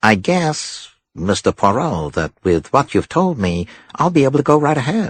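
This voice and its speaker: Putting on a nasal character voice, a man speaks at a moderate pace from a medium pitch, with very wide pitch swings. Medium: read story. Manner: pleasant, eager.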